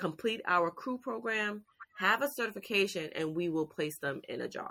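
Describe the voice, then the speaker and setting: Bright and sharp in tone, a woman's medium-pitched voice has lively intonation. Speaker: youth career program founder. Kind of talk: casual interview.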